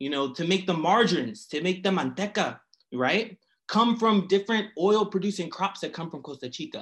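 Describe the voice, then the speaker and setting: Spoken in a Philadelphia accent, the delivery is fairly quick with lively intonation. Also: man. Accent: Philadelphia American English. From Philadelphia, US. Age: young. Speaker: historian. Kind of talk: academic talk.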